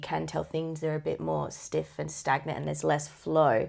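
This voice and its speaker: A quiet woman with an Australian accent speaks at a fairly quick pace in a very clean recording with a silent background. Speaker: netball podcast co-host. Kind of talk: casual sports chat.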